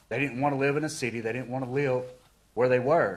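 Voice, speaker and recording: In a North Carolina accent, a man speaks at a medium pitch with fairly even intonation. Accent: Southern US (North Carolina). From western North Carolina, Rutherford County. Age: 40s. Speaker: local business owner speaking at public comment. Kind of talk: public comment speech. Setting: county commissioners meeting. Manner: halting, many fillers.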